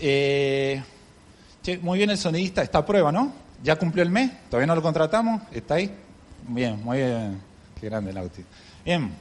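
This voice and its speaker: The voice moves at a moderate pace with very wide pitch swings. Long, frequent pauses break up the speech. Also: man, fairly high pitch for a man. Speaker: preacher. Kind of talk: sermon. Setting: church.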